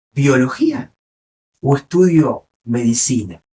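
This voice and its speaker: A man's dark, mellow tone in an Argentine accent, at a very slow pace. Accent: Rioplatense Argentine Spanish. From Argentina. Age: 60s. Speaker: neurologist. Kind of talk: interview.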